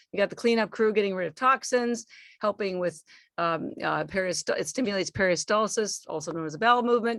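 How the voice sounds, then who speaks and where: A woman speaks at a medium pitch in an unremarkable speaking voice, with ordinary pitch variation. Her pace is fairly quick, and the sound is dry and close with no echo. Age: 60s. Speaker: supplement company founder. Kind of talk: podcast interview.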